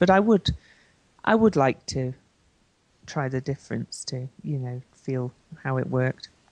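A woman with a British accent talks at a moderate pace, her pitch very deep and low and her tone dark and mellow. The sound is dry and close, with no echo. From Britain. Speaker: astrologer and life coach. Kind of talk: interview. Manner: hesitant, many fillers.

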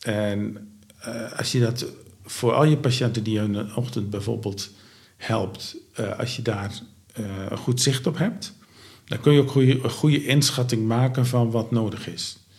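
In a room with audible echo, a man with a somewhat breathy, medium-pitched voice speaks at a fairly slow pace, with ordinary pitch variation and long, frequent pauses. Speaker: founder of a home care organisation. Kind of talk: interview. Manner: halting, many filler sounds.

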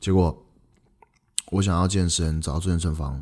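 At a fairly quick pace, a man speaks with a somewhat breathy, dark, mellow tone and ordinary pitch variation. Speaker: podcast host, entrepreneur. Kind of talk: casual solo podcast monologue.

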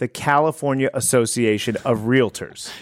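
At a fairly slow pace and a medium pitch, a man speaks in a very clean recording with a silent background. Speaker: realtor and podcast host. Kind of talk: casual chat. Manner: animated.

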